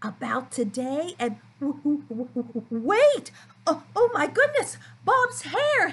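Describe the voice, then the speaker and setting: Raised and projected, a woman's bright, sharp voice moves with ordinary pitch variation over light background noise. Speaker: speech-language pathologist. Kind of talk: children's therapy play demo to camera. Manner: upbeat, playful. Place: home room. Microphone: webcam.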